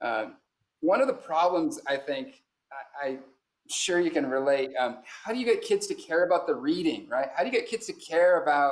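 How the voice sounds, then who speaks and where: A high-pitched man with an American accent, very wide pitch swings, and a moderate pace. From US West Coast, San Francisco Bay Area. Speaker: high school English teacher. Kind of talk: conference presentation. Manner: halting, many fillers.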